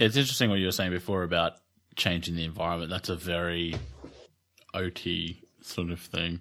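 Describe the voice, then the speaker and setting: A man with an Australian accent, very deep and low in pitch, bright and sharp in tone, with fairly even intonation, long, frequent pauses and a very clean recording with a silent background. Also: fairly quick pace. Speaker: podcast host, occupational therapist. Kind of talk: casual interview.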